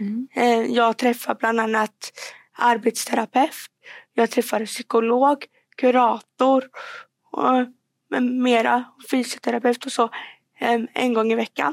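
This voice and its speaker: A woman with a fairly high voice speaks at a very slow pace with long, frequent pauses and fairly even intonation, the sound dry and close with no echo. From Värmland, Sweden (Degerfors). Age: 20s. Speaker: student and public speaker. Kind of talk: podcast interview.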